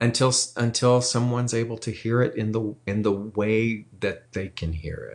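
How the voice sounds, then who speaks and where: A man with a normal speaking voice keeps a moderate pace with hardly any pauses and fairly even intonation, while his loudness swings widely. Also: medium pitch for a man. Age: 60s. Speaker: spiritual teacher. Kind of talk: casual chat.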